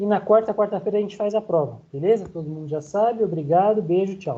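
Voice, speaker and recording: A man talks in a dark, mellow tone. His pitch varies in an ordinary way. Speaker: university lecturer. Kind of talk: online lecture. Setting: online class. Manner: fast.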